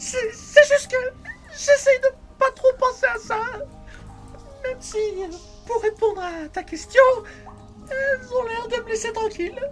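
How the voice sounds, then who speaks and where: A put-on character voice at an extremely high pitch sounds nervous and anxious, moving at a moderate pace with long, frequent pauses over clear background music. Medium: audio drama. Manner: nervous, anxious.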